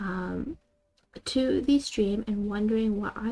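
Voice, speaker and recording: Over music in the background, a woman speaks in a fairly high voice with ordinary pitch variation. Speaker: streamer. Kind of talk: live stream chat. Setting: live stream. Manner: soft ASMR-style voice.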